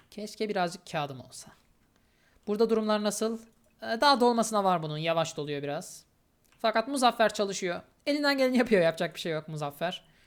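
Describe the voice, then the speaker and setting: In a very clean recording with a silent background, a woman at a medium pitch talks fairly quickly, her pitch swinging very widely. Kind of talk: gameplay commentary. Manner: casual, with frequent filler hesitations.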